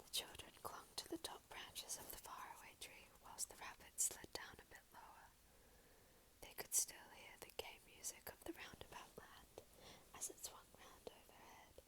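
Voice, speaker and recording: A woman whispers, her loudness swinging widely. Noticeable background noise runs underneath. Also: moderate pace. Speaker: ASMR channel host and reader. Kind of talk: storybook reading, whispered. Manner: whispered, soft.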